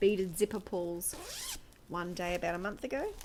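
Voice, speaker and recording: Moderate-speed speech from a woman in an Australian accent. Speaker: craft vlogger. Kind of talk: casual chat. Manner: chatty, rambling with fillers. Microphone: new external mic on iPad.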